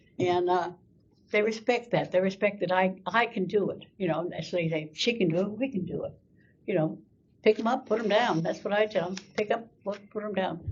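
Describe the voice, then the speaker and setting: At a moderate pace, a woman speaks with a somewhat breathy voice. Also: medium pitch for a woman, ordinary pitch variation. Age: 90s. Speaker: Gold Star mother and veterans volunteer. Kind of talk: interview storytelling. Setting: school podcast interview. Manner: animated.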